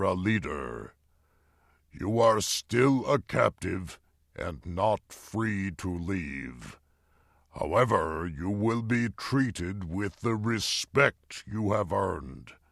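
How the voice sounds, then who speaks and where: A man puts on a growling character voice at a fairly low pitch, speaking at a very slow pace with lively intonation. The recording is very clean, with a silent background. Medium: read story. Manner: slow and deliberate.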